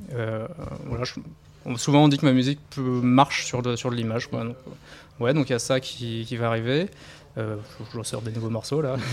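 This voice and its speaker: At a moderate pace, a man with medium pitch keeps fairly even intonation and leaves long, frequent pauses. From France, near Dreux (Centre-Val de Loire). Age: 30s. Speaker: electronic musician. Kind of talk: radio interview. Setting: live radio stand at a music festival.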